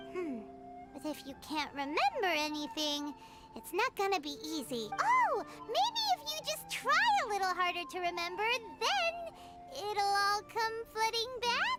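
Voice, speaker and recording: An extremely high put-on character voice speaks at a moderate pace with long, frequent pauses over loud music in the background. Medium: video game. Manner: bright, chatty.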